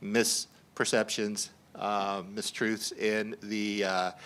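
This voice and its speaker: A man's voice has a bright, sharp tone and an American accent. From US South. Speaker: scientist and panel moderator. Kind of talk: panel discussion. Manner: halting, many repeated words.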